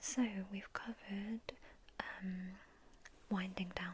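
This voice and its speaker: A woman whispering very slowly in a calm, gentle tone, with noticeable background noise. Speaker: ASMR roleplay sleep doctor. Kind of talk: ASMR sleep clinic roleplay, soft-spoken talk to the listener. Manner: soft-spoken, calm, gentle.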